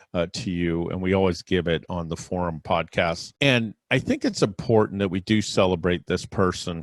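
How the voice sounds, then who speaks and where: Against a quiet background with a dry, close sound and no echo, a man with a very deep, low voice speaks at a moderate pace, with fairly even intonation and hardly any pauses. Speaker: celebrity podcast host. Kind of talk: solo podcast monologue. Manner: low, quiet voice.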